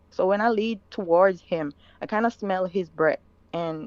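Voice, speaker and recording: A woman talks with a Jamaican accent at a fairly low pitch and a moderate pace. Her pitch variation is ordinary, and the sound is dry and close with no echo. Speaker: caller telling her story. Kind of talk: personal story told live. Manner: halting.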